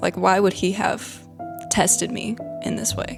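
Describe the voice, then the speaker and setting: A woman talks with a Southern US accent. Music plays in the background. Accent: Southern American. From Middle Tennessee. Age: young. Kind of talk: personal testimony.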